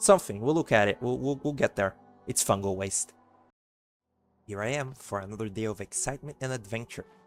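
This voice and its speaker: A man at medium pitch with ordinary pitch variation at a fairly quick pace, long, frequent pauses, and music in the background. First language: Portuguese. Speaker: gamer doing a let's play. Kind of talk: let's play commentary. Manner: soft-spoken; halting.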